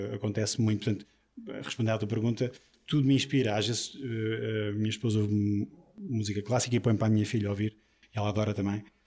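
Very fast, somewhat breathy speech from a man with a fairly low pitch and a dark, mellow tone. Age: 40s. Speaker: drummer. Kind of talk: interview.

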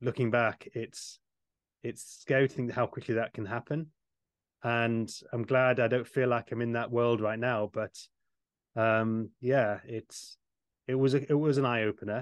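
With a British accent, a man at medium pitch speaks at a fairly slow pace with fairly even intonation and long, frequent pauses, the sound dry and close with no echo against a quiet background. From UK. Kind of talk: casual chat. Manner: halting.

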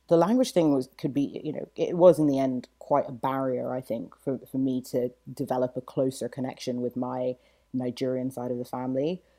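Her voice very deep and low with a dark, mellow tone, a woman with a British accent speaks at a moderate pace with ordinary pitch variation. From mixed upbringing: UK, Saudi Arabia, US. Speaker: author and lawyer. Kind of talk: podcast interview. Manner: halting, many fillers and repetitions.

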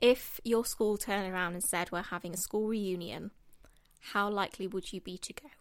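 A woman of medium pitch in an East Midlands accent, fairly quick in pace, with fairly even intonation and big swings in loudness. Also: very clean recording, silent background. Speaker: guest. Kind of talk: casual chat.

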